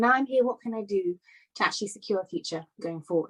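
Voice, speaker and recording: Recorded dry and close with no echo, a woman speaks at a medium pitch in a British accent. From London, England. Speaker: conference speaker. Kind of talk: talk. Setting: virtual summit.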